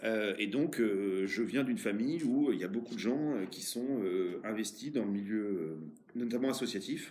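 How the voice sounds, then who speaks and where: At a medium pitch and moderate pace, a man talks with ordinary pitch variation amid audible room echo. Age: 40s. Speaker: mayor. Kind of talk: interview. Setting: office. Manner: hesitant, many fillers.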